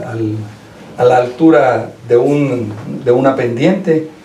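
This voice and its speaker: Over noticeable background noise and audible room echo, a man talks very slowly at a medium pitch with ordinary pitch variation. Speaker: lawyer, former classmate. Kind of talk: radio interview.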